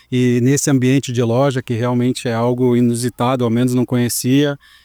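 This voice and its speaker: Dark and mellow in tone, a man's medium-pitched voice stays flat and monotone at a moderate pace. The sound is dry and close, with no echo. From southern Brazil (Rio Grande do Sul). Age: 40s. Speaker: footwear industry sales manager. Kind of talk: podcast interview. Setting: recording in a shop. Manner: hesitant, with fillers.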